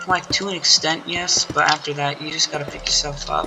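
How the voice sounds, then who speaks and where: A moderate pace with music in the background. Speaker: gaming video creator. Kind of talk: casual monologue over gameplay. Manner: rambling, halting with fillers.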